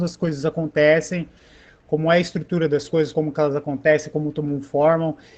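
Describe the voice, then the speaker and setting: This man's voice is pitched high. He talks very fast. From São Paulo, Brasilândia. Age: 30s. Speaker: art educator. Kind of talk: panel discussion. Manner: casual, hesitant with filler words.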